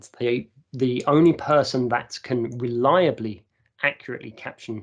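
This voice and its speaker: Speaking with an English accent, a man uses a medium pitch. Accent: received pronunciation. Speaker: university staff presenter. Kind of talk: conference presentation. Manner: impromptu, with frequent fillers.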